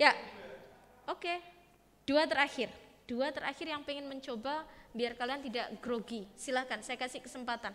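Moderate pace with ordinary pitch variation and long, frequent pauses, over light background noise. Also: woman, high pitch for a woman. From East Java, Indonesia. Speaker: teacher, public speaking trainer. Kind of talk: interactive workshop talk. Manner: animated. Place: classroom.

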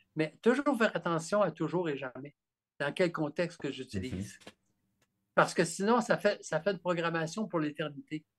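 With a Quebec accent, a man talks at a high pitch and moderate pace, his intonation lively and his loudness swinging widely. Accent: Québécois French. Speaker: author and therapist; guest. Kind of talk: interview about his book. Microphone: video call.

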